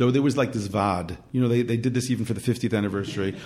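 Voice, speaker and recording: This man's tone is dark and mellow. He talks very fast. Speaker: publicist. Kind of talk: casual interview.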